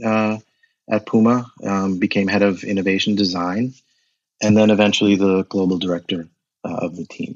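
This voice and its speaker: A man's fairly low voice in a monotone, flat intonation at a moderate pace. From United States. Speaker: footwear and innovation designer. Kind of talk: interview.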